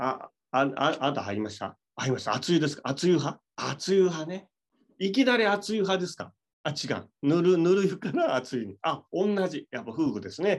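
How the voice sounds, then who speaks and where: A man talks at a moderate pace while his pitch swings very widely. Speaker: business speaker and livestream host. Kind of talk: casual livestream chat. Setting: hotel room livestream.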